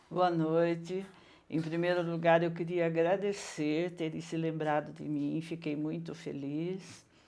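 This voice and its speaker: Fairly low in pitch for a woman, her voice comes with a dark, mellow tone, monotone, flat intonation and a fairly slow pace, with audible room echo. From Brazil, São Paulo state (Mairinque since age 10). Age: 60s. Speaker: retired teacher and educator. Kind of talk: interview.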